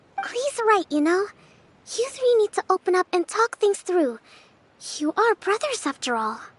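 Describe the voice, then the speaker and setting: A put-on character voice pitched extremely high. It moves at a moderate pace, broken by long, frequent pauses. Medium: video game.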